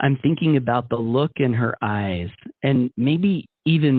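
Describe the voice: Quiet surroundings for plain reading aloud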